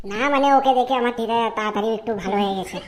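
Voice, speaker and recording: Over light background noise, a woman performs a cartoonish character voice at a fairly quick pace, fairly high in pitch, with fairly even intonation. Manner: hesitant, scrambling to agree.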